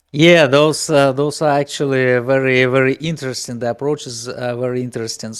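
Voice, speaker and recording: Speaking at a moderate pace with a non-native accent, this man has a medium pitch and fairly even intonation. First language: not English. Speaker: game project team member. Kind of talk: interview answers. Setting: live Discord stage. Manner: halting, many fillers.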